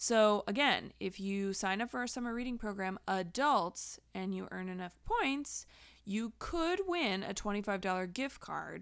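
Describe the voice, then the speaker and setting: A woman's medium-pitched, unremarkable speaking voice, fairly slow with lively intonation, on a very clean recording with a silent background. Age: 30s. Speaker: librarian and podcast host. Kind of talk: community announcements podcast.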